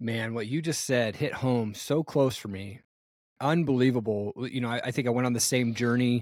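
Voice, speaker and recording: On a very clean recording with a silent background, a man has a normal speaking voice at a medium pitch, with fairly even intonation and a moderate pace. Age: 40s. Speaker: podcast host. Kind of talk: interview. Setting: podcast.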